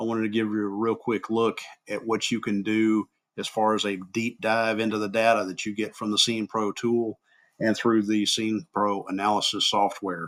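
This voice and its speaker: A man speaks at a fairly low pitch in a monotone with flat intonation. The recording is very clean, with a silent background. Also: moderate pace. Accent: Southern US. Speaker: crash reconstruction instructor. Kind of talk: software tutorial narration. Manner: casual, unpolished.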